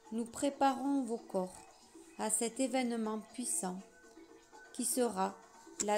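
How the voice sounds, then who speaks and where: Over music in the background, a woman speaks very slowly in a southwestern French accent. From southwest France. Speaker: spiritual channeler. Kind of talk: channeled spiritual message reading.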